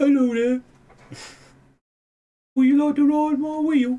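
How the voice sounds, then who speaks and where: A put-on character voice, high in pitch, delivers its lines at a fairly slow pace with monotone, flat intonation. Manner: theatrical, playful.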